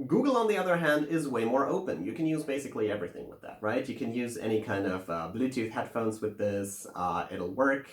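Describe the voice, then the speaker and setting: Over noticeable background noise, a man with a German accent talks at a fairly quick pace with lively intonation. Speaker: tech video reviewer. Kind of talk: tech review monologue. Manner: casual, with many filler words.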